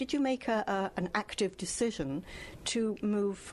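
A woman speaks in a plain, everyday voice, medium in pitch with ordinary pitch variation. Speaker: book club host. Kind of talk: interview. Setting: live event at a library.

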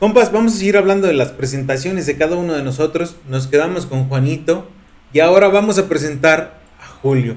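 This man has an ordinary speaking voice with a fairly high pitch. His pace is fairly quick, with ordinary pitch variation. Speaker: podcast co-host. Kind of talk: casual chat.

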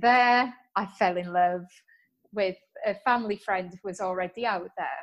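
A woman with a British accent, fairly even intonation and long, frequent pauses. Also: medium pitch for a woman, moderate pace, quiet background. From UK. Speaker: entrepreneur, book-writing coach. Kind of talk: interview conversation.

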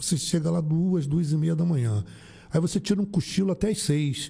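A man's dark, mellow tone, fairly high in pitch, with lively intonation. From Rio de Janeiro, Brazil. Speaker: municipal driver. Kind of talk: casual interview.

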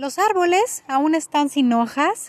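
A woman with a Mexican accent uses lively intonation in a dry, close sound with no echo. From Mexico. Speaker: podcast host. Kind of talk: casual unscripted monologue. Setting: outdoors in a park. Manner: hesitant, many fillers.

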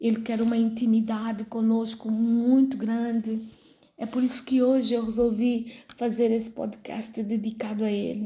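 A woman speaks at a moderate pace with a fairly high pitch, a dark, mellow tone, flat, monotone intonation and a somewhat breathy quality. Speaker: pastor. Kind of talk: sermon. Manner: halting, many fillers.

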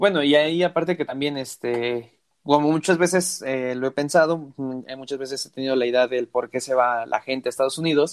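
In an unremarkable speaking voice, a man talks at a fairly quick pace and fairly high pitch with ordinary pitch variation. He leaves hardly any pauses, and the sound is dry and close with no echo. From Mexico. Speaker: podcast host. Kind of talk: casual chat.

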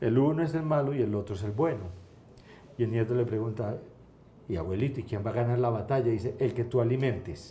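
With an Antioquian accent, a man speaks at a fairly quick pace in a dark, mellow, somewhat breathy tone, his intonation lively and his long, frequent pauses carrying audible room echo. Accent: Colombian paisa Spanish. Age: 60s. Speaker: entrepreneur. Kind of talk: interview.

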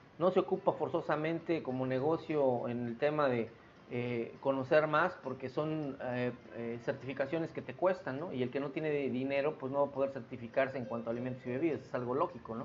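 In an unremarkable speaking voice, a man talks at a fairly quick pace, medium in pitch with ordinary pitch variation. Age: 40s. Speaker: podcast host. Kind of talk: solo monologue podcast.

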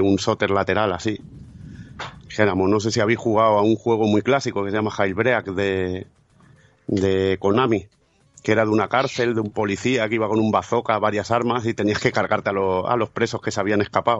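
With music playing behind him, a man speaks at a moderate pace in a fairly low pitch and a monotone, flat intonation. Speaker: podcaster. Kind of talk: casual chat.

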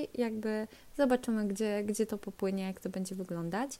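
With a dark, mellow tone, a woman talks at a moderate pace and a medium pitch. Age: 20s. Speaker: podcast host. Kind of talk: casual monologue. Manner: halting.

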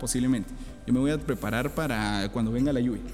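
There is music in the background as a man speaks. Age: 20s. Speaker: podcast host. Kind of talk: casual interview.

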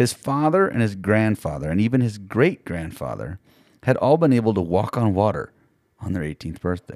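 The background is quiet. Intonation is lively in this plain reading aloud.

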